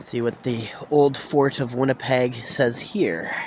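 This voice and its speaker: Ordinary pitch variation against noticeable background noise. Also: man. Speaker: vlogger. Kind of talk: walking tour vlog with reading of plaques. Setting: outdoors.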